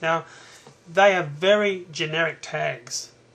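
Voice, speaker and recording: With an Australian accent, a man speaks in a fairly even intonation. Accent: Australian, noticeable. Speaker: internet marketer. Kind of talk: tutorial. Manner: hesitant, many fillers.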